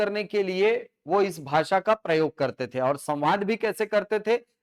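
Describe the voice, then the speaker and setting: A man talks with a Chhattisgarh accent. His pitch is high, with ordinary variation. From Chhattisgarh, India. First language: Chhattisgarhi (speaking Hindi). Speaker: teacher. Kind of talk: lecture. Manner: halting with fillers and repetitions.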